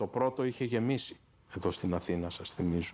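The man's pitch shows ordinary variation as he talks. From Greece, Athens (Patisia); Greece. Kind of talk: interview testimony. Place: office. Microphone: lapel.

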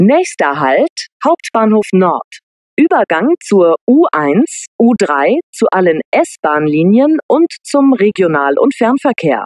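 Very slow and very even in loudness, a woman's fairly high voice makes very wide pitch swings in a dry, close sound with no echo. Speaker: public transport announcer. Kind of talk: train station announcements. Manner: clear, neutral, measured.

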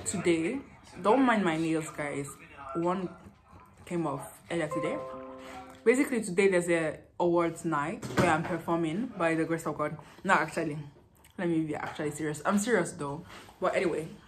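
A woman at a moderate pace with long, frequent pauses, fairly low pitch and ordinary pitch variation, clear music in the background. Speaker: vlogger. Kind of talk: casual vlog chat. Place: home room. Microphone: phone near.

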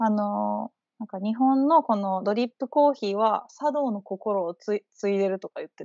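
A woman with a fairly high pitch speaks at a moderate pace with ordinary pitch variation and big swings in loudness. The sound is dry with no echo, and the background is quiet. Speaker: Japanese teacher. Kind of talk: casual conversation. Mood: relaxed, friendly. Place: home room. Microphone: video call.

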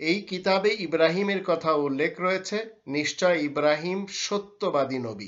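A man with a high-pitched voice speaks with ordinary pitch variation over a quiet background. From Bangladesh. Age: 50s. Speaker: Islamic scholar. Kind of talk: religious lecture. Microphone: webcam.

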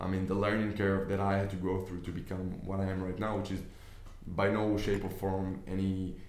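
A man speaks at a moderate pace in a very deep, low voice, with audible echo from the room. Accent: Israeli. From Israel. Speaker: business investor and online trainer. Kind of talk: tutorial. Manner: casual, hesitant with fillers. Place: office. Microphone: camera far.

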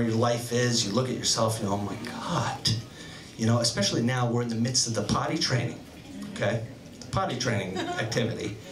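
Noticeable background noise behind fairly quick talking. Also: man. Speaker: stand-up comedian. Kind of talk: stand-up comedy, bawdy storytelling with acted-out voices of his wife. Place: stage. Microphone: handheld.

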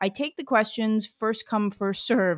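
A woman speaks at a moderate pace. The sound is dry with no echo, over a quiet background. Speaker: webinar host, moderator. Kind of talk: webinar housekeeping announcements. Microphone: video call.

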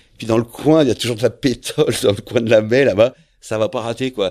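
A man talks at a fairly quick pace, captured on a very clean recording with a silent background. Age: 50s. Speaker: professional sailor. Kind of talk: interview, life story. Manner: hesitant, many fillers.

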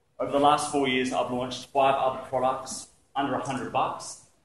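The speaker has an Australian accent, a moderate pace and fairly even intonation. Audible room echo and light background noise are present. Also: man. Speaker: entrepreneur giving business talk. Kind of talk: presentation to audience. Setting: stage with audience. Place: hall.

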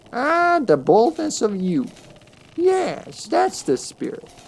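In a put-on character voice, a female-sounding speaker talks very slowly at a high pitch. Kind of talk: reading game dialogue aloud. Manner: mad chuckling.

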